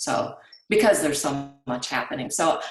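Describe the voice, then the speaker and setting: A woman talks at a moderate pace in a very deep, low pitch. Music plays in the background, and room echo is audible. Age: 60s. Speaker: webinar attendee, business owner. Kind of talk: webinar Q&A. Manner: halting.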